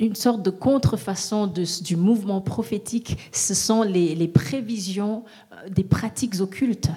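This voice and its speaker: There is noticeable background noise behind this woman. She talks at a fairly slow pace with ordinary pitch variation. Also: medium pitch for a woman. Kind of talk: consecutive interpreting of a sermon into French. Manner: echoing the preacher, steady and fervent, a beat behind.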